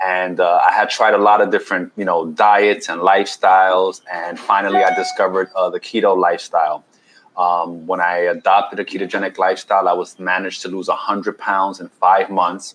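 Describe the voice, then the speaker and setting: Here a man speaks with a New York accent. He goes at a fairly quick pace with hardly any pauses. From New York City, Washington Heights. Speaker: keto health coach and chef. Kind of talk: podcast interview.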